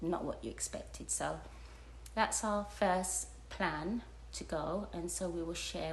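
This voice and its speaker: The woman's voice carries audible room echo. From United Kingdom. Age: 50s. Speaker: retired travel vlogger. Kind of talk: casual vlog talk to camera. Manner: halting, many fillers.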